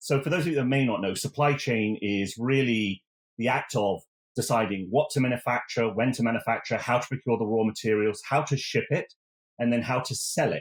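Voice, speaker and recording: With an English accent, a man talks at a fairly quick pace and medium pitch, using ordinary pitch variation. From England, Oxford. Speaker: technology executive. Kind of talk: podcast interview.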